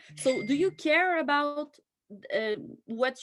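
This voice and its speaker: A woman with a French accent at a fairly slow pace. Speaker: training attendee. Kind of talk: question in online training. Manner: halting.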